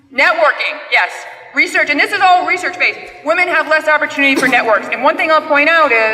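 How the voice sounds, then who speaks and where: Over noticeable background noise, a woman uses a raised, projected voice at a high pitch, talking at a fairly quick pace with ordinary pitch variation and very even loudness. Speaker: panel moderator. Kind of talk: conference presentation. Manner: fast.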